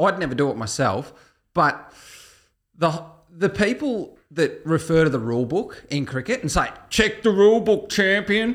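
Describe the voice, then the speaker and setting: With an Australian accent, a man talks at a moderate pace. His pitch is high for a man and swings very widely. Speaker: horse racing tipster podcast co-host. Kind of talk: casual chat. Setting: studio.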